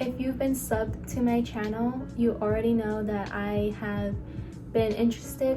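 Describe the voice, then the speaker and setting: Music can be heard behind the speaker. A woman talks at a moderate pace. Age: young. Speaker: nursing student. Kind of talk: casual talk to camera.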